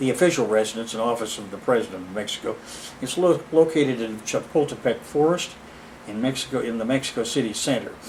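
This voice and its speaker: Talking very fast with ordinary pitch variation, a man is heard through audible room echo and noticeable background noise. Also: medium pitch for a man. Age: 70s. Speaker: lecturer. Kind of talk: lecture. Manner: halting.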